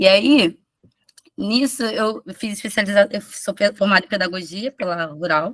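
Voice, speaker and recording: A woman speaks in a medium pitch with ordinary pitch variation. Her fairly slow delivery sounds dry and close, with no echo. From Rio de Janeiro, Manguinhos favela. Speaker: preschool teacher presenting research. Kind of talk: conference presentation. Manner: halting, many restarts.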